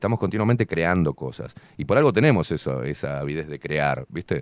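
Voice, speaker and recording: With a dry, close sound and no echo, a man speaks at a fairly quick pace, his pitch swinging very widely. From Uruguay and Buenos Aires. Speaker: show host. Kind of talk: casual interview. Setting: studio.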